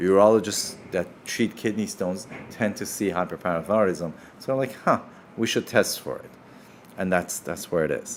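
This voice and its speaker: At a moderate pace, a man with a Persian accent talks with ordinary pitch variation. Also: fairly low pitch for a man. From Iran. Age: 50s. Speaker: surgeon. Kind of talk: live Q&A. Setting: livestream.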